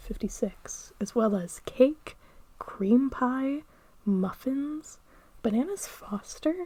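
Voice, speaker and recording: Soft-spoken and somewhat breathy, a woman talks at a fairly slow pace in a dark, mellow tone with ordinary pitch variation. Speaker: podcast host. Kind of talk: ASMR podcast.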